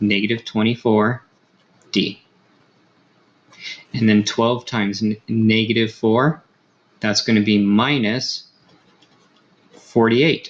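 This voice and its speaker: Soft-spoken and flat in intonation, a man talks at a medium pitch and a very slow pace, leaving long, frequent pauses. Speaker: high school math teacher. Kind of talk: tutorial. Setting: home recording at night. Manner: soft-spoken, keeping volume down.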